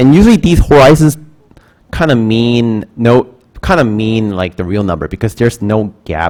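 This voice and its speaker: A man speaks with a Korean accent at a moderate pace. His medium pitch moves in very wide swings. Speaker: math instructor. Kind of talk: lecture. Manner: halting.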